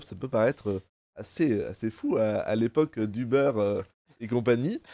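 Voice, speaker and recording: This man has a dark, mellow tone and a moderate pace. The recording is very clean with a silent background, dry and close with no echo. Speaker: student show presenter. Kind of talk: live show hosting. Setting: studio.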